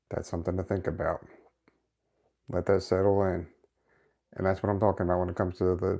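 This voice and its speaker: A dark, mellow voice races along at a very fast pace, its loudness very even, broken by long, frequent pauses. The recording is very clean with a silent background. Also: man. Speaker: motivational YouTuber. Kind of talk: live stream monologue. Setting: live video stream from home setup. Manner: sometimes monotone.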